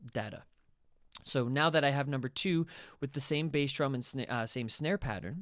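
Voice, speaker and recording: A man with an ordinary speaking voice, fairly high in pitch, at a moderate pace with ordinary pitch variation, on a very clean recording with a silent background. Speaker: music production tutor. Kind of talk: tutorial.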